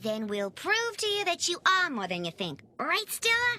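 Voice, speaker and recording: In a cartoonish character voice, a woman speaks at an extremely high pitch and a moderate pace. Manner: wisecracking, brash.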